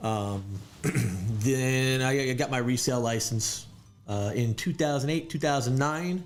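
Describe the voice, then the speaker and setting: A man with a New York accent speaks at a moderate pace. His pitch is medium, with ordinary pitch variation. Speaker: real estate agent. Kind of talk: interview. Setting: studio.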